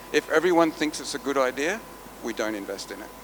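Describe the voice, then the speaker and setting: A man with an Australian accent speaks over noticeable background noise. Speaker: venture capital investor. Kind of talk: conference panel talk. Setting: stage with audience.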